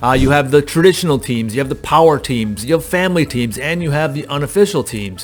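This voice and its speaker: With music in the background, a man with a fairly high pitch talks at a very fast pace using lively intonation. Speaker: real estate agent and recruiter. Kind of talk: tutorial. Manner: casual, many fillers.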